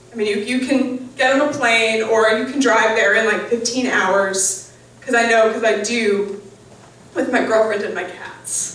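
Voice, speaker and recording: Speaking with an American accent, a woman with a fairly high voice talks at a fairly slow pace with fairly even intonation, over noticeable background noise and audible room echo. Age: 20s. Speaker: storyteller. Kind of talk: storytelling performance. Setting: stage with audience. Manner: halting, many um fillers.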